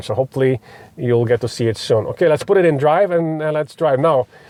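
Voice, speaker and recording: In a Polish accent, a man speaks with a dark, mellow tone. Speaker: electric car reviewer. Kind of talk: car review demonstration. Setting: in a car. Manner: hesitant, many fillers.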